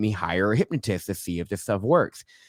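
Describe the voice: Soft-spoken and slightly mellow, a man talks at a fairly quick pace in a fairly low pitch.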